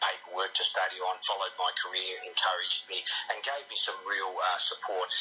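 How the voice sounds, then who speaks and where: Over music in the background, a man with an Australian accent talks at a very even loudness. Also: fairly quick pace. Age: 60s. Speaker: boxing referee. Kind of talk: radio interview.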